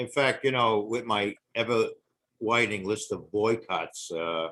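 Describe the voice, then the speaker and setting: A man with a New York accent talks at a fairly slow pace, his pitch in the medium range with ordinary variation. His tone is bright and sharp. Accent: noticeable New York. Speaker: podcast guest. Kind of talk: casual chat. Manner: animated storytelling.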